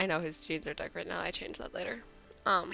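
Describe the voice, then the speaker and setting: A woman speaks with music in the background. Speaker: digital artist. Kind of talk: casual speed-paint commentary. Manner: hesitant, casual.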